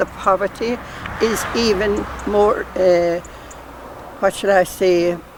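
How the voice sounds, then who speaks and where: A woman speaks in a Kerry accent at medium pitch. Background noise is noticeable. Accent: Irish (Kerry). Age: 70s. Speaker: nun. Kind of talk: casual interview.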